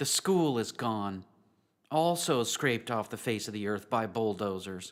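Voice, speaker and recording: A man speaks at a very slow pace. The recording is very clean, with a silent background. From US South, western North Carolina. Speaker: pastor. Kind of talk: sermon.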